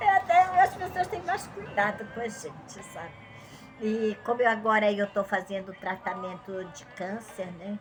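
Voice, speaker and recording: Over music in the background, a woman talks at a fairly slow pace with a medium pitch and ordinary pitch variation. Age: 70s. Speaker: Bible teacher. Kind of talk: religious teaching talk. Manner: conversational.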